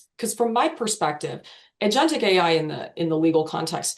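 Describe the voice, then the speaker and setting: An American-accented woman's voice. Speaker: legal tech product marketer. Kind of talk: webinar panel discussion.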